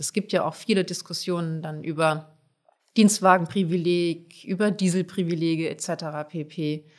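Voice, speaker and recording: A woman speaks in a normal speaking voice at a fairly low pitch, with fairly even intonation and a moderate pace. The recording is very clean with a silent background. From Germany, Palatinate (Pfälzer Wald village). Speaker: politician. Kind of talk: podcast interview.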